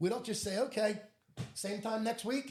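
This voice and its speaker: A loud man with an animated tone. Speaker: interventionist. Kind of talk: interview conversation.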